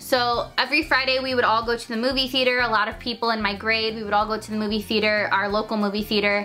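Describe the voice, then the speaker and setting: The woman here talks fairly briskly. Clear background noise sits under the whole clip. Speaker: youtuber. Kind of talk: storytelling. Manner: animated.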